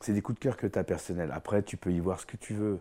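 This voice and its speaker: Against a silent background on a very clean recording, a man talks at a fairly quick pace with ordinary pitch variation and a dark, mellow tone. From France, Paris (Vietnamese parents). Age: 40s. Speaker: painter. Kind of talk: interview.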